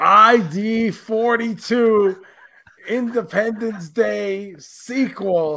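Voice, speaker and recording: A man's raised, projected voice, high in pitch, at a very slow pace with ordinary pitch variation. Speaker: podcast co-host. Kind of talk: casual chat. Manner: animated.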